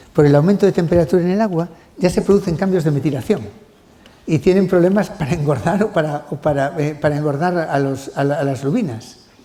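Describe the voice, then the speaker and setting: A man with a fairly high pitch speaks at a fairly quick pace in an animated tone over noticeable background noise. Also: ordinary pitch variation. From Spain. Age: 60s. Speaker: genetics professor. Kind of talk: lecture. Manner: halting.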